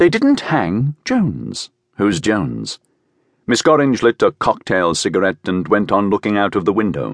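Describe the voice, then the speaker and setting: Over a quiet background, a man speaks at a fairly slow pace with vocal fry and very wide pitch swings. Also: dry, close sound with no echo. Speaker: audiobook narrator. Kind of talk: dramatic audiobook narration.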